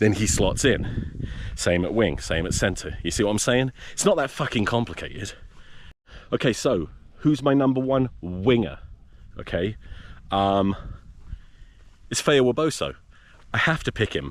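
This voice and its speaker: In a very clean recording with a silent background, a man with a medium pitch and vocal fry speaks at a moderate pace, with long, frequent pauses and very wide pitch swings. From England. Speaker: rugby podcaster. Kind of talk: casual vlog monologue. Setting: outdoors. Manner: animated.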